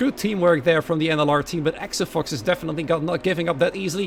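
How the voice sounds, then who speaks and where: Noticeable background noise sits under very fast speech with ordinary pitch variation. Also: man. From Netherlands. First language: Dutch. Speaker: esports race commentator. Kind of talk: casual chat with stream chat; live commentary. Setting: live stream. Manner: animated.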